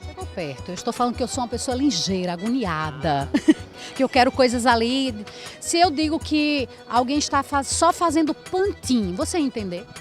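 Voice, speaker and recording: With music in the background, a woman speaks at a moderate pace in a high pitch with very wide pitch swings. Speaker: street reporter. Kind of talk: street interview questions.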